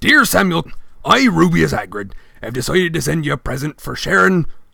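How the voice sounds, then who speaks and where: Putting on a character voice, a man projects at a raised, fairly high pitch. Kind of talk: reading a letter aloud.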